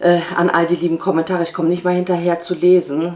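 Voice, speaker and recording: Her pitch is very deep and low. The woman speaks at a moderate pace. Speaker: family vlogger. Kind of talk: vlog monologue. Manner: casual.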